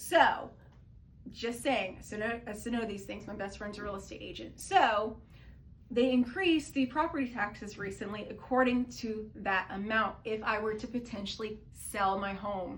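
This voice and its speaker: The speech moves at a moderate pace with ordinary pitch variation and big swings in loudness, set against noticeable background noise. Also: woman, fairly high pitch for a woman. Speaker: political commentary vlogger. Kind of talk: casual talk to camera.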